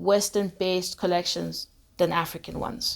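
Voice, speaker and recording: A woman talks in a normal speaking voice at a fairly slow pace. Her intonation is fairly even, and the recording is very clean with a silent background. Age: young. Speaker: fashion enthusiast. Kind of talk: casual interview chat.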